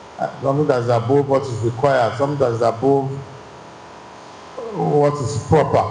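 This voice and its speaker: A man talks at a medium pitch with fairly even intonation. Noticeable background noise and audible room echo fill the recording. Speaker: church teacher. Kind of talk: bible class teaching. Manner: loud; halting, repetitive phrasing.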